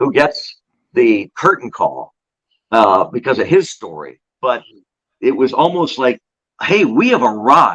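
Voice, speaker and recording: With an animated tone and an American accent, a man talks at a fairly slow pace in a dry, close sound with no echo. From Pennsylvania. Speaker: baseball play-by-play broadcaster. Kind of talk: podcast interview answer. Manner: storytelling, animated.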